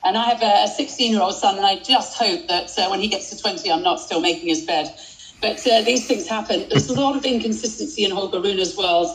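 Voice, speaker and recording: In a British accent, a woman talks at a fairly quick pace with a medium pitch and very wide pitch swings. Noticeable background noise runs underneath. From Britain. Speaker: tennis commentator and journalist.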